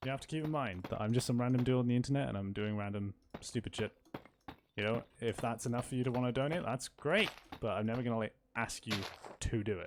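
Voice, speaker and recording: A man with a Welsh accent at medium pitch, very fast, with ordinary pitch variation. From Wales. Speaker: streamer. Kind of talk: casual live gaming stream chat.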